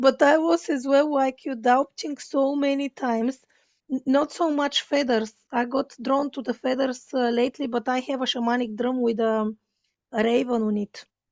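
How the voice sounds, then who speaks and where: A woman with a Bulgarian accent speaks at a high pitch. Her pace is moderate and her pitch variation ordinary. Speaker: podcast host, spiritual coach. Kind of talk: casual interview chat. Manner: halting.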